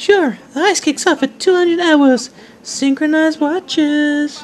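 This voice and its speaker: A put-on character voice with a high pitch moves along at a fairly slow pace. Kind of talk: comic absurd sketch acting. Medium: comedy sketch.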